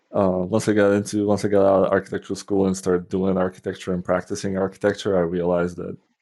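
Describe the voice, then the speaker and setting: Someone speaks very fast in a Polish accent, with monotone, flat intonation. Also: man, very deep, low pitch for a man, hardly any pauses. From Poland. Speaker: software developer and former architect. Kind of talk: podcast interview. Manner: casual, with many fillers.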